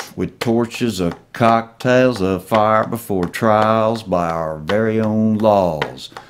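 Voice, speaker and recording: A man at a very slow pace with hardly any pauses, fairly low in pitch, with ordinary pitch variation, over noticeable background noise. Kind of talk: poetry reading, patriotic slam poem.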